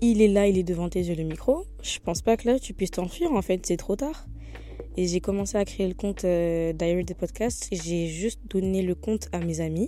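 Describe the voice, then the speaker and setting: Over background music, a woman talks at a moderate speed. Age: young. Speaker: podcast host. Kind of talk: casual chat. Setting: at home in bed. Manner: spontaneous, hesitant.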